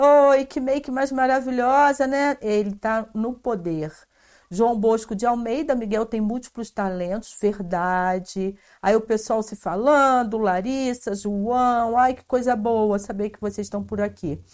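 On a very clean recording with a silent background, an animated woman speaks fairly slowly at a fairly high pitch, with ordinary pitch variation and big swings in loudness. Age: 50s. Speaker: podcast host and cultural promoter. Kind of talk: casual interview. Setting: live stream.

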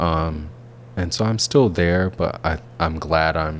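A man's very deep, low-pitched voice with an American accent, at a fairly slow pace, amid noticeable background noise. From US South, Alabama. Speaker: PhD student and artist. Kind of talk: interview. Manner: halting, many fillers and repetitions.

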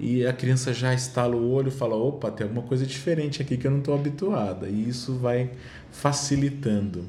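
A man talks at a fairly quick pace in a dark, mellow, somewhat breathy tone at medium pitch. His pitch variation is ordinary, and audible room echo surrounds him. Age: 40s. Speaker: children's music educator and performer. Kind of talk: casual chat.

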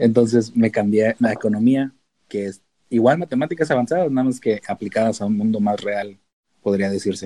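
Moving at a fairly quick pace, a man speaks at a medium pitch with ordinary pitch variation and a dark, mellow tone. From Mexico, Tijuana. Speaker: data analyst. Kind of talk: casual chat.

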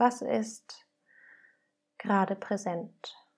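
A woman of medium pitch, warm and calm in tone, dark and mellow, with fairly even intonation. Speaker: podcast host and meditation guide. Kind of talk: guided meditation, gentle and inviting, addressing listener as du. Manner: slow, calm, soft-spoken, with long pauses between prompts; warm and nurturing, unhurried.

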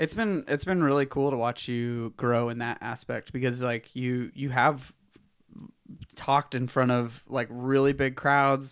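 In an ordinary speaking voice, a man talks at a medium pitch, fairly slowly and with fairly even intonation. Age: 30s. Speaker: podcast host and race organizer. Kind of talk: casual interview.

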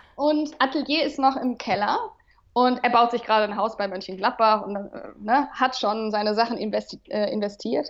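Her voice sits fairly high for a woman, moving at a moderate pace with ordinary pitch variation. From Remscheid, western Germany. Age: 30s. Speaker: radio presenter. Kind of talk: casual interview chat. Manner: hesitant, many fillers.

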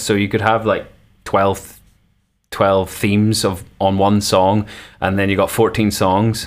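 A man speaks with a Northern Irish accent at a moderate pace. His fairly low voice stays monotone and flat. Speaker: musician. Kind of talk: interview. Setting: video call.

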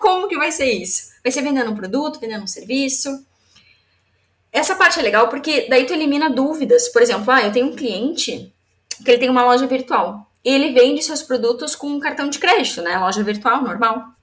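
A woman talks at a fairly quick pace, her high-pitched voice carrying lively intonation. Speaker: entrepreneur and business mentor. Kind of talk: casual interview.

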